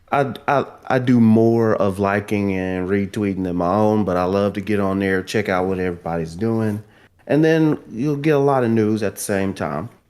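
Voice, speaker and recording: With a strong Southern US accent and ordinary pitch variation, the speaker comes through a very clean recording with a silent background. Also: man, fairly low pitch for a man. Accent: strong Southern US drawl. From US South. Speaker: guest gaming podcaster and drummer. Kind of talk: casual chat.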